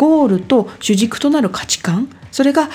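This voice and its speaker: A woman talks with very wide pitch swings over noticeable background noise. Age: 40s. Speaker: podcast host, life design coach. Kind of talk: solo talk / self-help monologue. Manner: polite, filler-heavy conversational.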